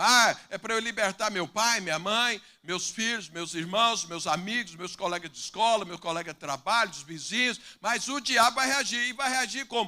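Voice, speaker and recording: Raising and projecting his voice, a man with a high pitch and a bright, sharp tone speaks at a moderate pace with ordinary pitch variation. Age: 60s. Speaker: pastor. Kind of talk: sermon. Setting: church with congregation.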